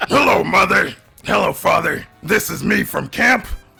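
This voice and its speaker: A man uses a raspy, put-on character voice at a moderate pace. Faint music plays in the background. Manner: playful put-on monster voice.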